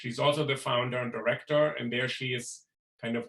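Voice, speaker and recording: A man with a European accent speaks at a moderate pace. His medium-pitched voice stays monotone and flat. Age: middle-aged. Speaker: professor and event host. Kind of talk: event introduction. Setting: video call.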